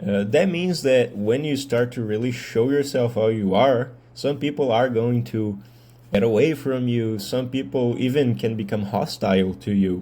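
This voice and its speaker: A man with a Brazilian accent speaks at a moderate pace, his medium-pitched voice dark and mellow with ordinary pitch variation. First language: Portuguese. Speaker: medical student and mental health video creator. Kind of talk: casual monologue vlog. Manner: hesitant with fillers.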